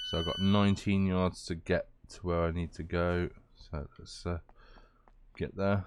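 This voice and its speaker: With a British accent, a man speaks at a moderate pace in a very deep, low voice with monotone, flat intonation. His loudness swings widely, and he takes long, frequent pauses. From Britain. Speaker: gaming YouTuber. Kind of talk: gameplay commentary. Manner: casual, hesitant with many fillers.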